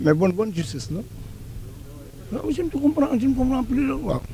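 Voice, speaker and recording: Pitch swings very widely as this man talks. His pace is moderate. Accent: Senegalese. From Senegal. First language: Wolof (speaking French). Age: 60s. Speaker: senior citizen interviewee. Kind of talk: street interview. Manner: halting, repeats words.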